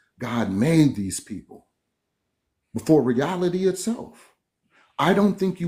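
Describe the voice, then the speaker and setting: A man with a dark, mellow tone and vocal fry talks at a fairly slow pace, with long, frequent pauses. His pitch swings very widely and his loudness varies greatly, on a very clean recording with a silent background. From Philippines. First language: Kapampangan/Tagalog. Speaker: religious debater. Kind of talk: heated debate. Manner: animated.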